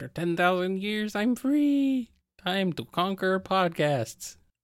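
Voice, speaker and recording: A put-on character voice at a middle pitch, fairly slow in pace, in a very clean recording with a silent background. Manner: menacing, theatrical.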